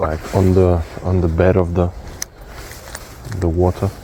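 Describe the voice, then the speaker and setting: Quiet and fairly slow, a man with a very deep, low pitch speaks in a monotone, flat intonation over noticeable background noise. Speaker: fishing vlogger. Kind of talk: casual vlog commentary. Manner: quiet, low tone.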